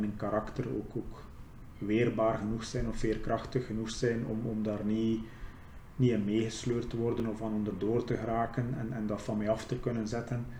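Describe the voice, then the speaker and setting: With audible room echo, a man at a medium pitch talks at a moderate pace in a monotone, flat delivery. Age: 30s. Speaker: ex-prisoner. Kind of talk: interview testimony.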